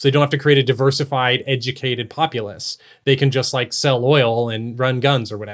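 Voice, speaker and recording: In a plain, everyday voice, a man with an American accent speaks at a medium pitch and a fairly quick pace with fairly even intonation, on a very clean recording with a silent background. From Texas. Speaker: podcast co-host. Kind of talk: casual interview chat.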